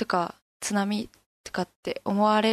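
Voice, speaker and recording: Monotone, flat intonation over a quiet background, with a dry, close sound and no echo. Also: woman. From Fukushima, Koriyama. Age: 20s. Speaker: university student. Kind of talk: interview.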